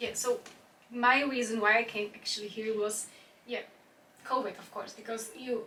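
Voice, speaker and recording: Over noticeable background noise, a woman speaks in a monotone, flat intonation with long, frequent pauses and big swings in loudness. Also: fairly high pitch for a woman, moderate pace. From Czech Republic, Prague. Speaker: dance teacher and adult dance student. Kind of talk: casual interview. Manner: halting.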